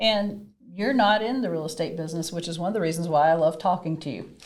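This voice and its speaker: Speaking at a moderate pace with a slight Southern US accent, a woman uses a fairly low pitch and ordinary pitch variation. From US South, Mississippi. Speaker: podcast host, real estate broker. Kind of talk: interview conversation.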